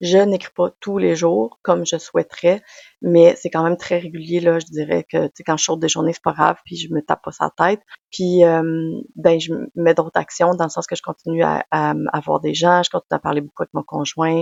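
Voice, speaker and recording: With a Quebec accent, a woman of fairly low pitch talks at a moderate pace with fairly even intonation. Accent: Québécois French. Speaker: podcaster, personal development coach. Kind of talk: personal testimony monologue.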